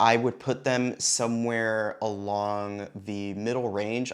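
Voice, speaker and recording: A man speaks at a very slow pace. His voice is fairly low in pitch, with fairly even intonation. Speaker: tech reviewer. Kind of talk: product review. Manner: casual, with filler words.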